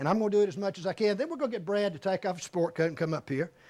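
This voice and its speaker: This man's voice is high-pitched, with an animated tone and lively intonation. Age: 60s. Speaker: atheist debater. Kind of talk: debate speech.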